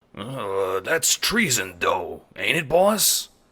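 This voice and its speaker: In a gruff, put-on character voice, a man speaks at a very slow pace and a fairly high pitch. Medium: audio drama. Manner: gruff, folksy slang.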